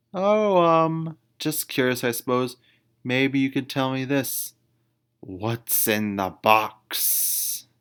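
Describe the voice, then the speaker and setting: In a put-on character voice, a man growls at a very slow pace with medium pitch, on a very clean recording with a silent background. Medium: read story.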